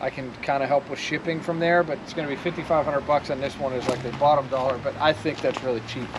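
Very fast speech with fairly even intonation against noticeable background noise. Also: man. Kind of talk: sales walkthrough. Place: open country.

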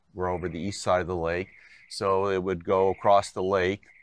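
Here a man speaks in a very deep, low pitch with an American accent. The background is quiet. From Binghamton, upstate New York. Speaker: retired winery owner, former chemist. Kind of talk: oral history interview.

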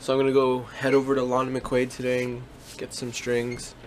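Light background noise sits under the recording. A man speaks at a fairly slow pace. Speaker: musician vlogger. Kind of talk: casual vlog chat. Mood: relaxed, laughing. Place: home room. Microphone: phone near.

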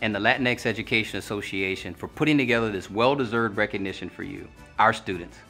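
Faint music plays in the background as a man speaks at a very fast pace with ordinary pitch variation. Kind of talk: commencement speech. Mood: formal, warm, earnest.

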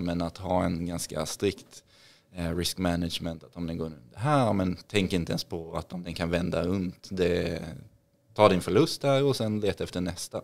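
With a very deep, low voice, a man keeps his intonation fairly even and his pace moderate. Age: 30s. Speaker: trader and investor, former hockey player; podcast guest. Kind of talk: podcast interview; interview answer. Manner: hesitant, many fillers. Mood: friendly, relaxed. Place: studio. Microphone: studio mic.

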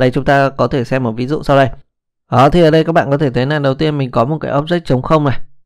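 A very fast-talking man with a fairly high pitch and fairly even intonation. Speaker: programming instructor. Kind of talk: tutorial. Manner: casual, with many fillers.

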